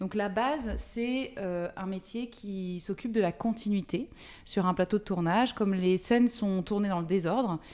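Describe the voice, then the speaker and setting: A dark, mellow tone with ordinary pitch variation. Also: woman, medium pitch for a woman, fairly slow pace. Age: 40s. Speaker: film script supervisor. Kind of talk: interview. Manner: halting, many hesitations.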